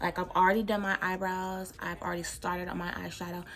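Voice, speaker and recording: At a very fast pace, a woman with an American accent speaks at a medium pitch. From Texas. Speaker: beauty vlogger. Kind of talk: casual chat. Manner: animated.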